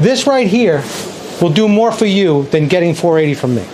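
A man with an American accent speaks at a moderate pace with lively intonation. Audible room echo and noticeable background noise are present. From New York. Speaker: travel vlogger. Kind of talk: haggling; live stream walking vlog. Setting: outdoors and in market shops.

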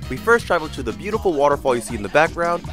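A man rushes along at a very fast pace, his pitch swinging very widely. The sound is dry with no echo, and music plays in the background. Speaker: vlog narrator. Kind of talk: vlog narration.

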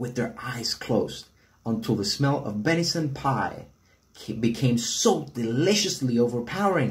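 The intonation moves in a lively way. The reading voice is unforced.

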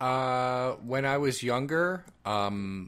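The recording is very clean, with a silent background. A man uses an ordinary speaking voice at medium pitch with lively intonation. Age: 30s. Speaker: podcast host. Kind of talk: casual chat.

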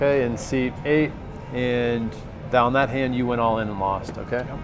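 With clear music playing behind him, a man speaks at a moderate pace using fairly even intonation. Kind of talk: tutorial. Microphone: lapel.

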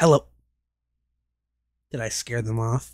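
A woman's put-on character voice, growling and very deep in pitch. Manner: gruff, menacing.

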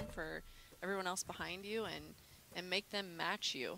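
A woman's fairly low, bright, sharp voice with vocal fry, fairly even intonation and a fairly quick pace. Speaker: sports commentator, former champion. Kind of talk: live sports color commentary.

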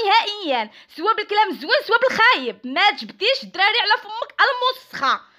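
A woman with a Moroccan accent projects her voice in a bright, sharp tone at a fairly quick pace. Her pitch is extremely high and swings very widely. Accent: Moroccan Arabic (Darija). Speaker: YouTuber. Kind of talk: angry rant video. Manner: heated, shouting insults.

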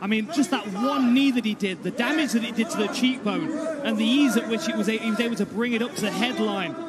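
Against noticeable background noise, a man with an extremely high pitch talks very fast in an animated, enthusiastic tone. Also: ordinary pitch variation. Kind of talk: live fight commentary. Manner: animated, enthusiastic, rapid play-by-play.

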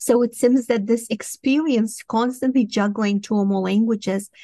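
A woman with a Romanian accent speaks with ordinary pitch variation, the sound dry with no echo and the background quiet. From Moldova. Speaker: professor and cognitive scientist. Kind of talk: interview. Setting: remote video call. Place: home room. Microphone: studio mic.

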